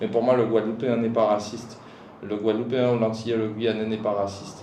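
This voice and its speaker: A man speaks in a flat, monotone way. Noticeable background noise can be heard. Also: medium pitch for a man, fairly quick pace. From Guadeloupe. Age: 30s. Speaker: hiker and mountaineer. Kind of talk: podcast interview. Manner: casual.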